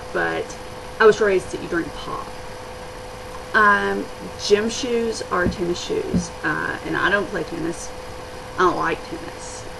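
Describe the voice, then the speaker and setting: With a Kentucky accent, a woman speaks at a fairly slow pace with long, frequent pauses, amid noticeable background noise and audible room echo. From eastern Kentucky, Appalachia. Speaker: vlogger. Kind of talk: casual vlog; reading a word list. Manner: hesitant, many fillers.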